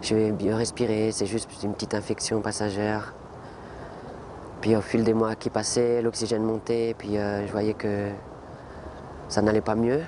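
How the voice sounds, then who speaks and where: A man speaks fairly slowly in a fairly low, monotone voice with flat intonation. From French Antilles. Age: 20s. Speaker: lung transplant patient. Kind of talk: testimony. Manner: halting.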